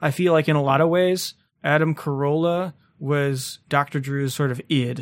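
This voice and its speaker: A man with an ordinary speaking voice talks at a moderate pace, his fairly high pitch following fairly even intonation, on a very clean recording with a silent background. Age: 30s. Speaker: podcast host. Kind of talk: casual chat.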